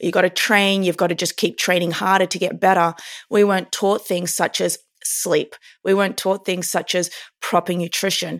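A woman with an Australian accent, medium pitch and monotone, flat intonation, at a moderate pace, in a very clean recording with a silent background. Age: 30s. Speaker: neurophysiologist and performance coach. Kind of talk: interview.

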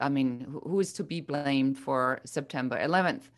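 Quiet background behind a woman's moderate pace and ordinary pitch variation. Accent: German. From Germany. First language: German. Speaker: business coach. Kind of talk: interview.

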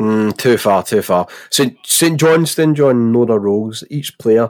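A man with a Glaswegian accent speaks at a moderate pace with ordinary pitch variation. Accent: Glaswegian Scottish. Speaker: football podcast host. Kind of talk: casual chat.

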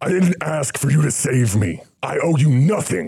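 A man shouts in a put-on character voice at a moderate pace. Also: fairly high pitch for a man. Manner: screamed, cold and dismissive.

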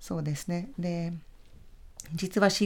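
A woman at medium pitch speaking at a very slow pace. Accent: Hungarian. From Hungary. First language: Hungarian (speaking Japanese). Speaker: cultural center director. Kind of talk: radio interview. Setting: studio.

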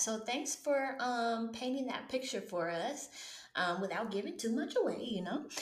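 Amid noticeable background noise and audible room echo, a woman talks at a moderate pace in a high pitch with lively intonation. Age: 30s. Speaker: podcast host, former teacher. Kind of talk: interview. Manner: animated.

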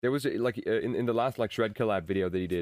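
With a German accent, a man talks at a very fast pace, the sound dry and close with no echo on a very clean recording with a silent background. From Germany. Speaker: YouTube gear reviewer. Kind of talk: casual chat. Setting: trade show.

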